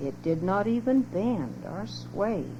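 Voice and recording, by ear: The pace is slow. The intonation is lively. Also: woman, medium pitch for a woman.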